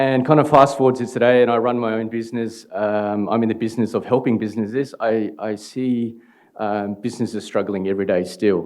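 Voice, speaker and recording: In an Australian accent, a man speaks fairly quickly at a medium pitch with fairly even intonation against a quiet background. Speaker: startup founder. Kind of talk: conference talk. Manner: halting, many fillers.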